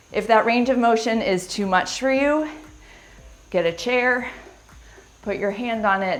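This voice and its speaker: Music plays behind a woman whose energetic tone comes with ordinary pitch variation. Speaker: fitness instructor. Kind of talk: workout instruction. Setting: live stream. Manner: slow; energetic and encouraging.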